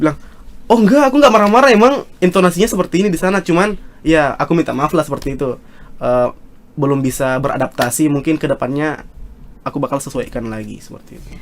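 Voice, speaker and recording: A man talking at a very fast clip, fairly high-pitched, with very wide pitch swings and big swings in loudness. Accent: strong South Sulawesi. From South Sulawesi, Indonesia. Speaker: student leader. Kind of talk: casual podcast interview. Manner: halting, many fillers.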